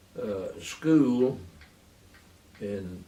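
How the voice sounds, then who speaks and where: A man is speaking. He has a Texan accent. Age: 90s. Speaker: war veteran. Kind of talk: oral history interview. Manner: halting.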